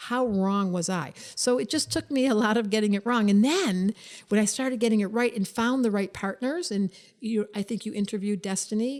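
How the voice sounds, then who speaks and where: Speaking with an American accent, a woman sounds animated, using a fairly high pitch at a fairly quick pace. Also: ordinary pitch variation. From US, Colorado. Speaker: astrologer and astrology teacher. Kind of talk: podcast interview. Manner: fast.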